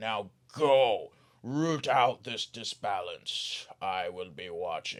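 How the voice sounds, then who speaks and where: A man's put-on character voice at a medium pitch, delivered at a very slow pace. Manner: commanding.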